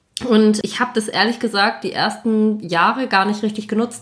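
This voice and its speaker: On a very clean recording with a silent background, a woman with a fairly high pitch uses an ordinary speaking voice at a fairly quick pace. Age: 20s. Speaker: podcast host and army officer. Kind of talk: casual chat.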